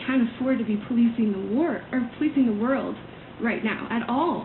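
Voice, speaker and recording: A woman is heard amid noticeable background noise and audible room echo. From US South, Atlanta, Georgia. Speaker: political campaign volunteer. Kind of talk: radio interview. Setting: radio studio.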